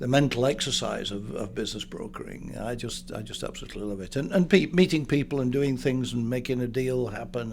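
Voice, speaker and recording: With a northern English accent, a man speaks at a fairly quick pace and medium pitch, with ordinary pitch variation and audible room echo. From northern England. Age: 70s. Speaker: business broker. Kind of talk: interview. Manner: halting.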